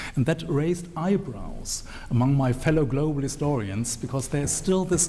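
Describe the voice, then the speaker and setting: Amid audible room echo and noticeable background noise, a fairly high-pitched man with a German accent speaks at a moderate pace, with ordinary pitch variation and very even loudness. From Germany. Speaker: historian. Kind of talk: panel talk at a book launch. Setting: event with live audience. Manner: hesitant, many fillers and restarts.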